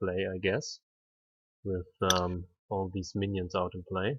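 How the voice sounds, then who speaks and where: A man with a non-native accent, fairly low in pitch, at a fairly slow pace. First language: not English. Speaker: game commentator. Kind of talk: live commentary. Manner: hesitant, many fillers.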